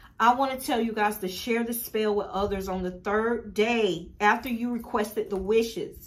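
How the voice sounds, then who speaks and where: A woman with an American accent and an unremarkable speaking voice talks at a moderate pace in a fairly high pitch, with fairly even intonation and hardly any pauses. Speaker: spiritual teacher and shop owner. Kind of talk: tutorial.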